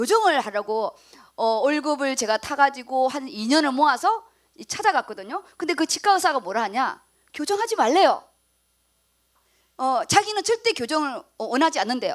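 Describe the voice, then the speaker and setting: With very wide pitch swings and big swings in loudness, a woman with a high pitch speaks at a moderate pace. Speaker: pastor. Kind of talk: sermon.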